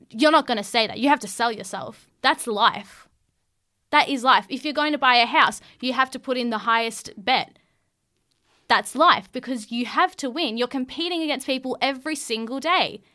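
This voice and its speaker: A woman with a high pitch speaks in a raised, projected voice and an animated tone, bright and sharp, at a moderate pace with ordinary pitch variation on a very clean recording with a silent background. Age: 20s. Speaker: podcast co-host. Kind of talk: casual chat. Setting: studio.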